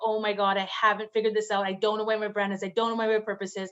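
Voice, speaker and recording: Over noticeable background noise, a woman speaks in an animated tone at a fairly high pitch. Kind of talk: interview. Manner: fast.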